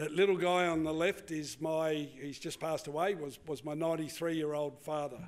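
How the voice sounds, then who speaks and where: A man with a fairly high pitch and an Australian accent at a moderate pace. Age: 70s. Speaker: cattle farmer. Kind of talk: conference presentation. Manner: halting.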